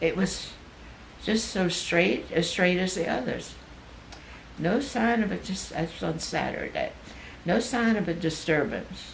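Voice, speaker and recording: A woman speaks at a medium pitch and a fairly slow pace, with long, frequent pauses, ordinary pitch variation and noticeable background noise. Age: 80s+. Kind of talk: reading personal notes aloud.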